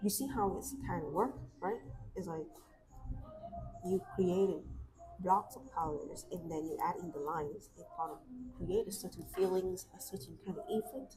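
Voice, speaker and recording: Moderately paced, a woman's speech has long, frequent pauses and big swings in loudness. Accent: Vietnamese. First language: Vietnamese. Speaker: artist YouTuber. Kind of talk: casual chat while drawing on a livestream. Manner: hesitant, with fillers and restarts.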